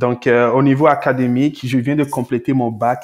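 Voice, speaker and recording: Moderate in pace, this man has an ordinary speaking voice at medium pitch with fairly even intonation. The recording is very clean, the background silent. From Togo, West Africa. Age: 20s. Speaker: entrepreneur. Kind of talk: interview.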